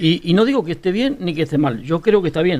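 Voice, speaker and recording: His pitch is fairly high, and his intonation is lively. The man talks very fast. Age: 60s. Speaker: farmer. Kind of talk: casual panel discussion.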